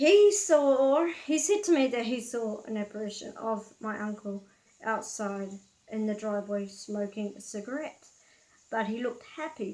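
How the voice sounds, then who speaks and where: A fairly high-pitched woman's voice in a New Zealand accent, dark and mellow in tone, at a moderate pace with ordinary pitch variation. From New Zealand, Auckland. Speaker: vlogger. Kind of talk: casual storytelling vlog. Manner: casual, hesitant with fillers.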